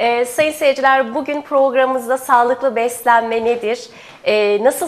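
This woman has a high pitch and fairly even intonation. She talks at a moderate pace. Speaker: TV program host. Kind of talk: TV health interview. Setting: studio. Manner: formal. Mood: friendly, smiling. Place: studio. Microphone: lapel.

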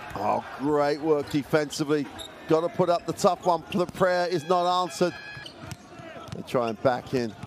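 Over noticeable background noise, a man with a fairly high pitch sounds enthusiastic and leaves long, frequent pauses. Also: ordinary pitch variation, moderate pace. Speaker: basketball commentator. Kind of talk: live play-by-play game commentary over highlights. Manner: enthusiastic, praising the play.

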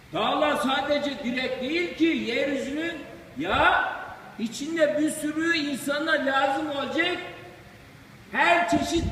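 With an Aegean accent, a man with an extremely high pitch speaks very slowly and with ordinary pitch variation over noticeable background noise. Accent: Aegean Turkish dialect. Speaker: retired imam. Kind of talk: informal religious talk after prayer.

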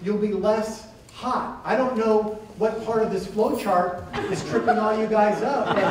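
Recorded with audible room echo and light background noise, a man is speaking. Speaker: stand-up comedian. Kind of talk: stand-up comedy. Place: stage.

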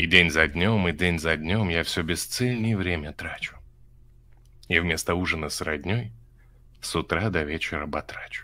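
A man with a very deep, low pitch and a bright, sharp tone speaks at a fairly slow pace, leaving long, frequent pauses. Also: ordinary pitch variation. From Rostov region, Russia. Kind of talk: casual chat with poetry reading. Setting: video call via chat roulette.

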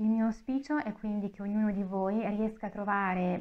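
Here a woman speaks at a medium pitch and a moderate pace. Her intonation is fairly even. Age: 30s. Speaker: author with fibromyalgia. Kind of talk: interview. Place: meeting room. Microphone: lapel.

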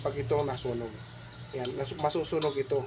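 A man is speaking at a fairly quick pace. His pitch sits in the medium range. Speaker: video blogger. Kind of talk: tutorial. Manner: halting.

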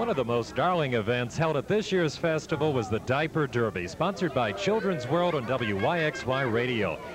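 Amid noticeable background noise, a man speaks at a moderate pace in a medium pitch with very wide pitch swings, very even loudness and hardly any pauses. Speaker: cable TV host. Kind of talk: local TV festival report and interviews.

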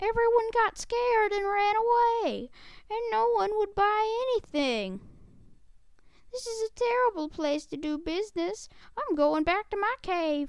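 Putting on a character voice, a man talks at a moderate pace in an extremely high pitch. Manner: apologetic, dejected.

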